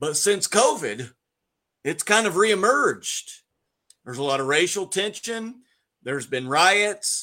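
A man's high-pitched voice is raised and projected, with a bright, sharp tone. His pitch swings very widely, and he takes long, frequent pauses. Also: fairly slow pace. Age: 50s. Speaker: pastor. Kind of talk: casual chat.

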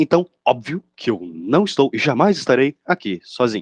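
A man at a moderate pace with very wide pitch swings, dry and close with no echo, over a quiet background. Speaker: podcast host. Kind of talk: casual chat. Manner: animated.

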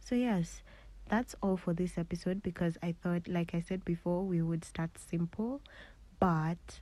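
A woman's fairly low, dark, mellow voice, somewhat breathy, moves at a moderate pace with fairly even intonation. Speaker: podcast host. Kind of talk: casual monologue.

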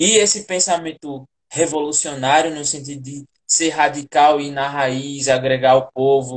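Ordinary pitch variation in a normal speaking voice. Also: man. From Brazilian northeast, inland Rio Grande do Norte (sertão). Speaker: theatre artist hosting a live interview series. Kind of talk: casual interview. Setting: online live video call.

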